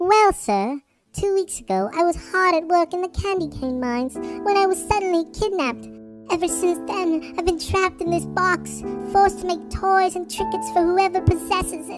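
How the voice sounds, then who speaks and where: A cartoonish character voice moves at a moderate pace over faint music in the background. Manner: polite, humble.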